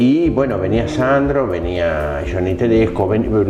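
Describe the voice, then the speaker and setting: Lively intonation carries the speech at a moderate pace. Audible room echo and music in the background accompany it. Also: man. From Argentina, Tandil (Buenos Aires province). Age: 60s. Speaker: interviewee sharing life story. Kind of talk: interview. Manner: hesitant, many fillers.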